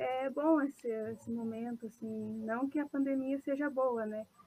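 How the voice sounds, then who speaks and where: Speaking fairly slowly in a fairly high pitch, a woman has an unremarkable speaking voice. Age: 20s. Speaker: first-year university student. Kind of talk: casual interview.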